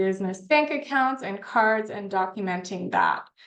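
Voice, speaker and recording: A woman with an ordinary speaking voice, a fairly high pitch and a moderate pace. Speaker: tax professional. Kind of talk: online workshop presentation.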